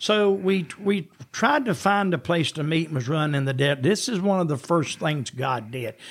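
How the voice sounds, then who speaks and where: A somewhat breathy voice with a Southern US accent moves at a moderate pace with lively intonation. The recording is very clean, with a silent background. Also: man. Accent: Southern US (Georgia). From US South, Georgia. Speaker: retired founding pastor. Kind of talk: casual interview, personal testimony.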